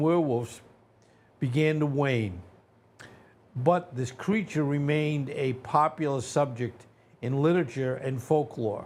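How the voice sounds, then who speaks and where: Speaking at a fairly slow pace, a man has a fairly high pitch. He talks with a New England accent. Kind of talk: lecture-style, explanatory.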